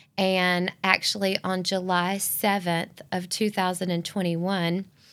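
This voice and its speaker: In a Southern US accent, a woman speaks fairly slowly at a medium pitch with monotone, flat intonation. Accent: Southern US (Georgia). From US South, Northeast Georgia. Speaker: ministry volunteer and business owner. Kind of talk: testimony.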